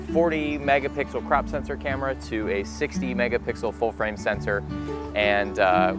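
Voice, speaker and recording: Over clear music in the background, a man with a fairly low pitch talks in a dry sound with no echo. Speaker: photography vlogger. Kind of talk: casual vlog chat. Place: waterside.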